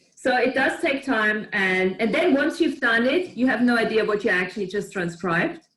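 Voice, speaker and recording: With a non-native accent, the speaker keeps a very even loudness and leaves hardly any pauses. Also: woman, fairly high pitch for a woman, lively intonation, moderate pace. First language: not English. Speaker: spiritual group facilitator. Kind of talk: casual group chat. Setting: video call.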